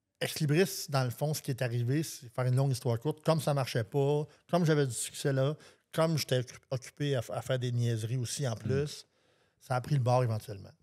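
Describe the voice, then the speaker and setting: A man speaks at a fairly quick pace with a medium pitch, a dark, mellow tone, ordinary pitch variation and a somewhat breathy quality, on a very clean recording with a silent background. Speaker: singer-songwriter. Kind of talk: casual interview.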